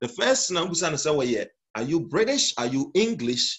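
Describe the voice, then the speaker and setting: Speaking at a fairly slow pace, a man with a Ghanaian accent uses lively intonation. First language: Twi. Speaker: pastor. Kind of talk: sermon. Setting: church.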